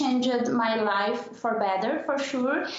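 A woman with a Portuguese accent, high-pitched, at a fairly slow pace, with ordinary pitch variation and audible room echo. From southern Brazil. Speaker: diversity and intercultural consultant. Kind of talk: interview podcast. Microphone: video call.

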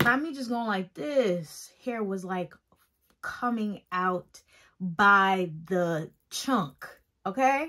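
Lively in intonation and bright, sharp in tone, a woman speaks at a very slow pace. The background is quiet. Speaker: hair care vlogger. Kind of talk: casual tutorial vlog chat. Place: home room. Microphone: phone near.

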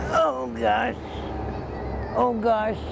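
Against noticeable background noise, a woman at a medium pitch talks at a very slow pace with very wide pitch swings, in a dry sound with no echo. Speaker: news interviewee. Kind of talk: interview answer. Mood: emotional, relieved, gentle. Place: street.

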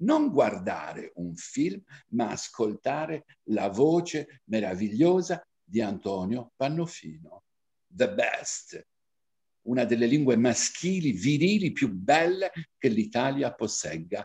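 A man speaks very slowly with vocal fry and very wide pitch swings. The background is quiet. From Cagliari, Sardinia, Italy. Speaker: diction teacher and reciter. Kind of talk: diction lesson. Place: home room. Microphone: webcam.

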